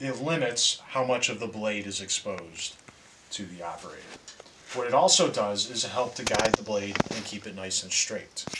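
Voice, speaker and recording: A man's voice at a moderate pace, with ordinary pitch variation, big swings in loudness, and noticeable background noise. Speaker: high school shop teacher. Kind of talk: tutorial. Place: workshop.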